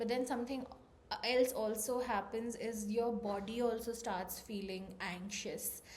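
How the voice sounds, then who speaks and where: A woman speaks at a fairly slow pace with a fairly high, somewhat breathy voice. Her pitch varies in an ordinary way, and room echo is audible. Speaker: vlogger. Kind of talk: personal vlog talk.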